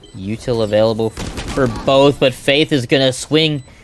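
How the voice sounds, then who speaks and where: Noticeable background noise sits under speech with ordinary pitch variation. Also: man. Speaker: esports commentator. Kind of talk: live esports commentary on a match, play-by-play.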